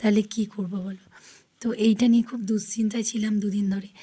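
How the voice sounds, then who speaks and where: A woman speaks in a fairly high, somewhat breathy voice with a dark, mellow tone. Her intonation stays flat and monotone. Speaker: vlogger. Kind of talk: casual vlog talk. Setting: outdoors in rain.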